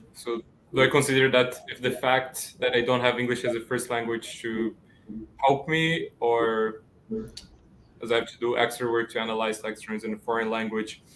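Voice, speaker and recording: His intonation is monotone and flat. The man's pitch stays at a medium level. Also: moderate pace. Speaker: student writing tutor. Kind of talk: panel discussion.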